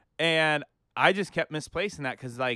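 Speaking with an American accent, a man sounds animated, with a bright, sharp tone and lively intonation at a moderate pace. The recording is very clean and dry, close with no echo, over a silent background. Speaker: podcast co-host. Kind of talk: casual banter. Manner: animated, excitable.

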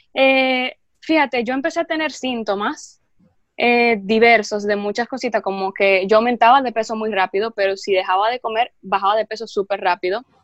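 Her pitch fairly high, a woman talks at a moderate pace with ordinary pitch variation in a dry, close sound with no echo. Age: 20s. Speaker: health food content creator. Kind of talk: casual interview.

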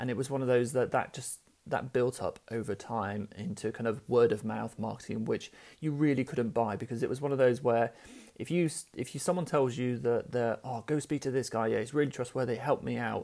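A man's dark, mellow voice at a fairly quick pace with ordinary pitch variation. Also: medium pitch for a man. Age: 30s. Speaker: podcast host and business founder. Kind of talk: solo monologue storytelling. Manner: casual, many fillers.

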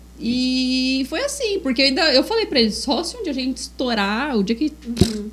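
Amid noticeable background noise, a woman with a high pitch and lively intonation talks at a moderate pace with hardly any pauses. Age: 30s. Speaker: podcast co-host, digital marketer. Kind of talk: casual chat.

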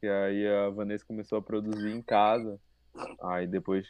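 A plain, everyday voice belongs to this man, medium in pitch. He speaks at a moderate pace. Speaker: cook, gastronomy graduate. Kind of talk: casual chat.

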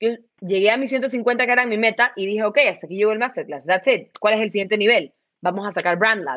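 A woman speaks at a fairly quick pace in a fairly high pitch. She has an unremarkable speaking voice with ordinary pitch variation. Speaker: entrepreneur. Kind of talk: interview.

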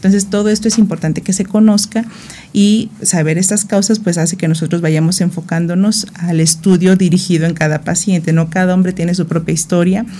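Against noticeable background noise, a woman speaks at a medium pitch with fairly even intonation and very even loudness. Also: fairly quick pace. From Mexico, Morelos (born in Guerrero). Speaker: gynecologist and reproductive biologist. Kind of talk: radio interview, medical explanation.

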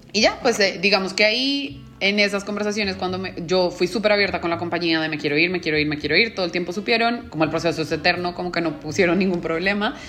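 Over noticeable background noise, a woman talks at a very fast pace with hardly any pauses. Her pitch is fairly low, with ordinary variation. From Colombia. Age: 30s. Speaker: business manager. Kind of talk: interview.

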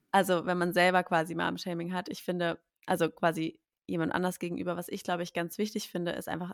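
A woman with a plain, everyday voice speaks fairly quickly at a fairly low pitch, in a very clean recording with a silent background and a dry, close sound with no echo. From Berlin. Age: 20s. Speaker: podcast host, café owner, mother. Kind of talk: casual chat.

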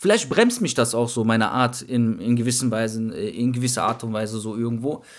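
Monotone, flat intonation marks this man's voice. He keeps up a fairly quick pace. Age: 20s. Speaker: podcast co-host. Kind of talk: casual chat.

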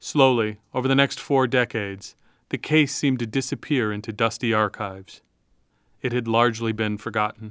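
A man speaks in a normal speaking voice at medium pitch. His intonation stays fairly even. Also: moderate pace. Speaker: podcast narrator. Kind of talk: scripted narration.

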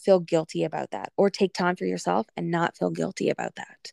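A woman speaks at a moderate pace. The recording is very clean with a silent background, dry and close with no echo. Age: 30s. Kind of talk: casual chat.

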